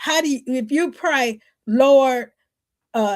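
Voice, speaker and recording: A woman with a high-pitched voice is heard on a very clean recording with a silent background. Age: 60s. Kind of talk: podcast interview.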